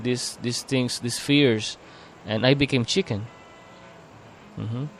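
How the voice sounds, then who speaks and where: A medium-pitched man at a fairly slow pace with ordinary pitch variation, music in the background. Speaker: podcast host. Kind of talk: casual chat. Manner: halting.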